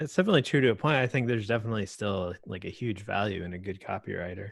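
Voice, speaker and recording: A man's fairly low voice with an American accent, very fast, with ordinary pitch variation. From Florida. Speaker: video creator, meetup organizer. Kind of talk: casual group chat. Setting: video call.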